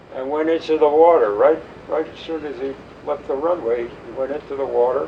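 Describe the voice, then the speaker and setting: A man's voice over noticeable background noise. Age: 80s+. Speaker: war veteran. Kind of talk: interview answer.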